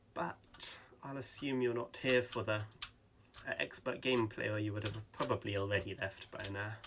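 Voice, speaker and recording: Long, frequent pauses break up speech at a moderate pace with ordinary pitch variation, set against noticeable background noise. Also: man, fairly low pitch for a man. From England. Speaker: gaming YouTuber. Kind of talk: gameplay commentary. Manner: hesitant, many ums.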